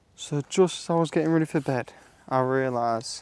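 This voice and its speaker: Recorded with a dry, close sound and no echo, a man speaks at medium pitch with ordinary pitch variation. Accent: British. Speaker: outdoor vlogger. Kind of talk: vlog narration. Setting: outdoors in woods and bunker.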